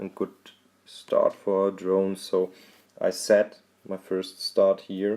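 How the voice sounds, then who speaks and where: A man is speaking. He has a German accent. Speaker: drone videographer. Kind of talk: tutorial. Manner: halting.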